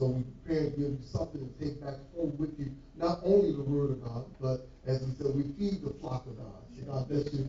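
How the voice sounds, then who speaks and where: A man talks with ordinary pitch variation. Room echo is audible. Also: fairly quick pace. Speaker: church leader; pastor. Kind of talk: church announcements. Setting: church. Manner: halting. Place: church. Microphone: camera far.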